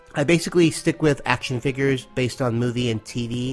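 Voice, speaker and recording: A man talks over noticeable background noise. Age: 40s. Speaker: toy collector, listener. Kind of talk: recorded voice message.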